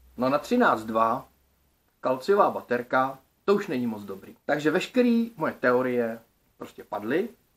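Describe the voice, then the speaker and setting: Speaking at a fairly slow pace, a man uses lively intonation and big swings in loudness. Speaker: DIY electronics video creator. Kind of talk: casual vlog monologue. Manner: colloquial, lots of filler words. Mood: thoughtful, slightly frustrated. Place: home room. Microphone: phone near.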